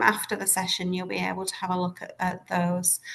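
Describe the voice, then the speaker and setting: With a Lancashire accent, a woman speaks at a medium pitch. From northern England, Lancashire. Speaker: school leader, head of primary. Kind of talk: webinar presentation.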